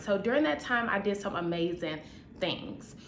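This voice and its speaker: A woman with an American accent speaks at medium pitch and a moderate pace, with ordinary pitch variation. Audible room echo and noticeable background noise fill the recording. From US Midwest, Chicago. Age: 20s. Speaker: vlogger, nurse. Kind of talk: casual vlog to camera.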